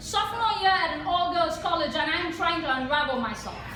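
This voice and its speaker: A raised, projected voice with lively intonation comes at a moderate pace through noticeable background noise and audible room echo. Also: woman. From India. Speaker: spoken word poet. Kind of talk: poetry performance. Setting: stage with audience.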